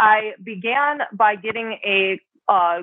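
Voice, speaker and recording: A woman with an American accent speaks at a medium pitch in a plain, everyday voice. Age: 30s. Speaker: cannabis influencer and music photographer. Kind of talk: interview conversation.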